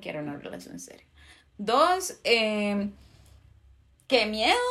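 Talking at a fairly slow pace, a woman has a plain, everyday voice with fairly high pitch. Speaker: podcast co-host. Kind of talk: casual chat.

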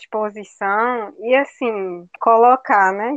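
Her voice sits at a fairly high pitch, and this woman speaks with ordinary pitch variation. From Brazil, Agreste of Pernambuco. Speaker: geography professor. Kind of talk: talk in online study group. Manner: frequent filler 'né'.

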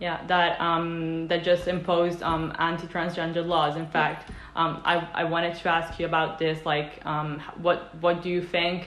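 Speaking in an Italian accent at a fairly slow pace, a woman keeps a fairly low pitch and monotone, flat intonation amid noticeable background noise and audible room echo. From Italy. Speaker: interviewer. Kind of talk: interview. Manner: halting.

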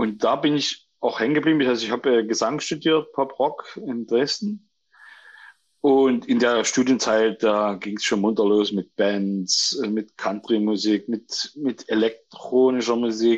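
A man at medium pitch, with ordinary pitch variation and a fairly slow pace, over a quiet background. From Saxony, Germany (near Chemnitz). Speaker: composer and stage actor. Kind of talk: casual chat. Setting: phone call. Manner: halting.

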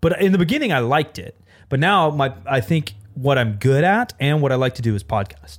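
A somewhat breathy man with a fairly high pitch, very wide pitch swings and a fairly quick pace. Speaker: streamer. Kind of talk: casual chat.

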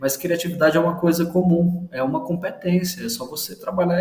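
Over noticeable background noise, a man with a high pitch speaks at a fairly quick pace, his pitch varying in an ordinary way. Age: 30s. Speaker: brand designer. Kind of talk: casual interview chat.

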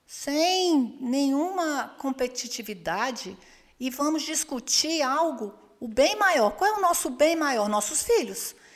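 Lively intonation at a very slow pace. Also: woman. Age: 50s. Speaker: church women's ministry leader. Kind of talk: casual chat.

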